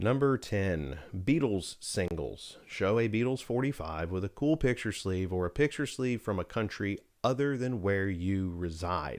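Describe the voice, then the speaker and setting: The speaker has a normal speaking voice with an American accent and lively intonation. The fairly slow delivery has hardly any pauses, in a very clean recording with a silent background. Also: man, fairly low pitch for a man. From United States. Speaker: vinyl record collector, YouTuber. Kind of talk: casual vlog, showing records. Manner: casual, many fillers (uh, um).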